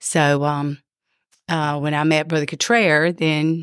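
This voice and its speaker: In a Louisiana accent, a woman with a very deep, low pitch speaks fairly slowly on a very clean recording with a silent background. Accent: Southern US (Louisiana). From Louisiana, US South. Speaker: pastor's wife. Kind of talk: testimony.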